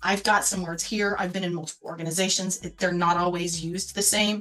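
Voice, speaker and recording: A woman talks at a fairly quick pace with a medium pitch. Music plays behind her. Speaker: market researcher. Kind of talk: presentation. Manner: fast.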